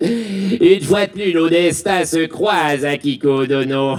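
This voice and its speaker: A man does a put-on character voice, shrill and high-pitched, with ordinary pitch variation. He goes at a fairly slow pace over light background noise. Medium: stage play. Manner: pompous, formal.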